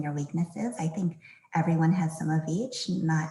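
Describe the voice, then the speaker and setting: Her tone is dark and mellow, somewhat breathy, and this woman's pitch varies in an ordinary way. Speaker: sports team finance executive. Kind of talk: career panel discussion. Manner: soft-spoken.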